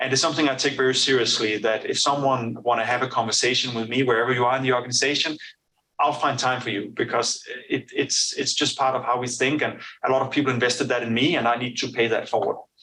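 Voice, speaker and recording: Speaking very fast in a Danish accent, a man has a bright, sharp tone, medium pitch, and monotone, flat intonation. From Denmark. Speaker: business executive. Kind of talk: interview. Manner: halting, many fillers and repetitions.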